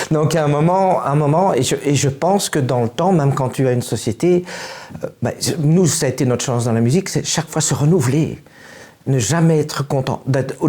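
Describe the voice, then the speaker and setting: A man's fairly high voice at a moderate pace, with ordinary pitch variation and very even loudness, over noticeable background noise. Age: 60s. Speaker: musician. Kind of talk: interview. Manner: halting.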